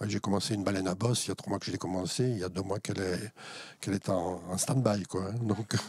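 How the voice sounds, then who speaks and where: This man talks at a very fast pace, his fairly low pitch held in fairly even intonation. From Alsace, France. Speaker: wire sculptor, former interior architect. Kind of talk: interview. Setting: in his workshop. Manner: hesitant, many fillers.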